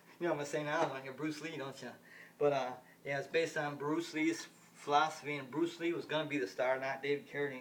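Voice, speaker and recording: A man with an American accent speaks very fast at a fairly high pitch with fairly even intonation. Noticeable noise sits in the background. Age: 50s. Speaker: vlogger. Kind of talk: casual monologue. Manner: halting.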